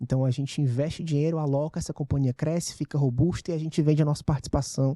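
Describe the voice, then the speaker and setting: A man speaks very fast with a Ceará accent, his pitch fairly high and his intonation fairly even. The voice is somewhat breathy with a dark, mellow tone, recorded dry and close with no echo. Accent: Ceará (northeastern Brazilian). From Ceará, northeastern Brazil. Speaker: venture capital investor, fund partner. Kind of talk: podcast interview.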